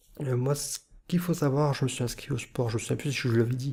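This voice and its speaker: A man with a medium pitch and a dark, mellow tone talks with fairly even intonation on a very clean recording with a silent background. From northern France. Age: 30s. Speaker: YouTuber / self-confidence vlogger. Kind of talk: vlog monologue. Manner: hesitant, many filler sounds; weak articulation.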